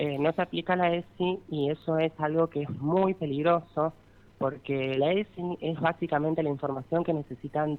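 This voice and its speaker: A woman's very deep, low-pitched voice with fairly even intonation. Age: 30s. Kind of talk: radio interview.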